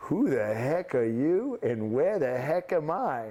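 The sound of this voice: A man does a put-on character voice in a strong New York accent. His pitch is fairly high and his pace fairly slow. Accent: thick New York.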